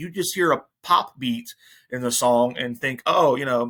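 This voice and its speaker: The speaker is a man. He has an American accent. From New Jersey. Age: 40s. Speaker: podcast host. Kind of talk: casual chat. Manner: halting, many repeated words.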